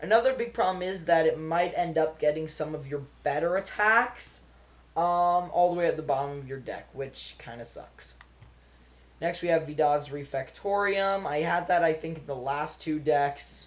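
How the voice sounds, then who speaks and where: A woman with a very deep, low pitch speaks at a moderate pace with ordinary pitch variation. Her loudness swings widely. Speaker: card game deck reviewer. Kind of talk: gameplay tutorial.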